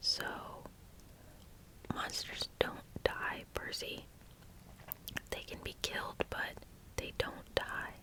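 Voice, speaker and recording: A very slow whisper comes through noticeable background noise. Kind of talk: whispered ASMR audiobook reading. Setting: close-mic studio. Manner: whispering, soft.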